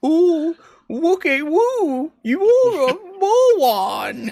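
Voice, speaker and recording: A squeaky, put-on character voice at an extremely high pitch, with very wide pitch swings and a very slow pace. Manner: mocking, small.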